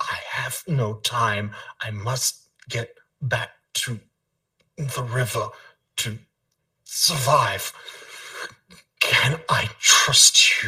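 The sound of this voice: A man does a raspy, put-on character voice at a very slow pace, stopping often for long pauses.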